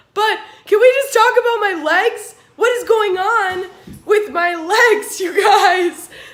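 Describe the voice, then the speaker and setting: Amid audible room echo, a woman speaks at a very slow pace with ordinary pitch variation. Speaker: fitness vlogger. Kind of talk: casual vlog chat. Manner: casual, with many fillers.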